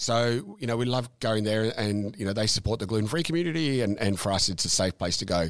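The speaker has an Australian accent and talks at a fairly quick pace with ordinary pitch variation. The recording is very clean, with a silent background. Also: man, fairly low pitch for a man. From Melbourne area, Australia. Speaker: brewery owner. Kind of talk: casual interview. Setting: office at the brewery. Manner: halting, many fillers.

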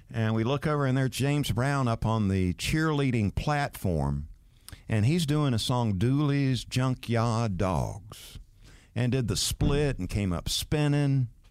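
A man with a Southern US accent speaks at a medium pitch and a fairly slow pace, his intonation lively and his loudness very even, on a very clean recording with a silent background. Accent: Southern US (South Georgia). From US South, Valdosta, Georgia. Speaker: sports radio host and former quarterback. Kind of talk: casual interview chat.

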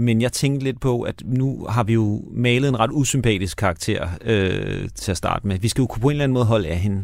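A man with a normal speaking voice at a medium pitch, ordinary pitch variation, a moderate pace and hardly any pauses, on a very clean recording with a silent background. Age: 60s. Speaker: radio host and screenwriter. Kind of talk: casual chat. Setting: studio.

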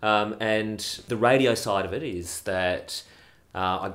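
A man speaks with an Australian accent. Room echo can be heard. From Australia and UK. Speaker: radio broadcaster. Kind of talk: casual chat.

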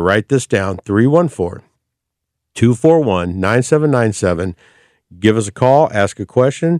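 The recording is very clean, with a silent background and a dry, close sound with no echo. A man with an ordinary speaking voice and medium pitch talks at a moderate pace with lively intonation. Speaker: radio host. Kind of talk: live radio talk show. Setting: studio. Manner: chatty, upbeat.

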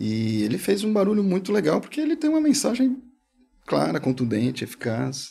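This man has a high pitch and a dark, mellow tone, speaking at a moderate pace with very wide pitch swings. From São Paulo, Brazil. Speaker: filmmaker and animation studio partner. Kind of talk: casual chat.

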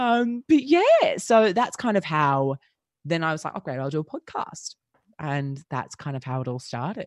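In an Australian accent, a woman speaks at a very deep, low pitch with very wide pitch swings. Her pace is moderate, and the sound is dry and close with no echo. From Australia, Melbourne. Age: 20s. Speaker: podcast agency founder. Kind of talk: casual interview.

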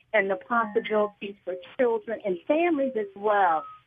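A woman's fairly high voice at a moderate pace, ordinary pitch variation, an unremarkable speaking voice. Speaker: caller. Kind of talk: call-in question. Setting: phone call.

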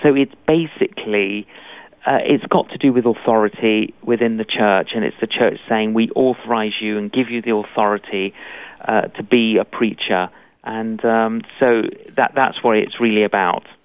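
This man speaks with a London accent. His intonation stays fairly even. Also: medium pitch for a man, moderate pace. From London, England (Greek Cypriot family). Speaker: evangelist preacher. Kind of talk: interview.

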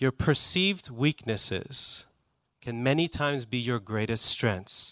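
On a very clean recording with a silent background, a man with an American accent speaks fairly slowly at a medium pitch with lively intonation, in an unremarkable speaking voice. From US, Iranian family. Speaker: music company executive. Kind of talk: panel discussion. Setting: stage with audience.

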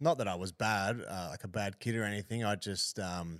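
In an Australian accent, a man speaks with a very deep, low pitch on a very clean recording with a silent background. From Queensland, Australia (Hervey Bay). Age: 20s. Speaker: rugby league player. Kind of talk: casual interview.

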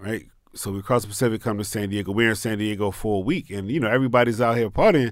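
Very fast speech with fairly even intonation, on a very clean recording with a silent background. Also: man, fairly low pitch for a man. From Maryland, Pasadena. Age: 40s. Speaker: tequila entrepreneur and military veteran. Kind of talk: interview. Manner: casual.

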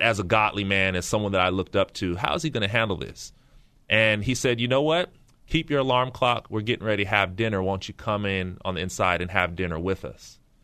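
With an American accent, a man talks at a fairly quick pace in a fairly low pitch, his tone bright and sharp against a quiet background. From San Francisco Bay Area, California (Pittsburgh). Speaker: pastor. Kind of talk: interview. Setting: studio.

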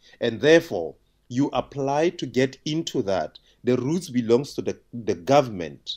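A man's medium-pitched voice at a fairly slow pace, with lively intonation and vocal fry. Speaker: aviation expert. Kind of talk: radio phone interview. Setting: phone call.

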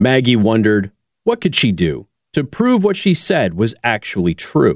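A man speaks at a medium pitch. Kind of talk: bedtime story reading aloud. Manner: gentle, sing-song storyteller cadence with rhymes.

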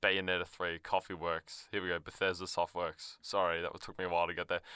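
A man talks at a very fast pace in an Australian accent, his tone bright and sharp. The sound is dry and close with no echo, on a very clean recording with a silent background. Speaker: radio host. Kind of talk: casual chat. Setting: studio.

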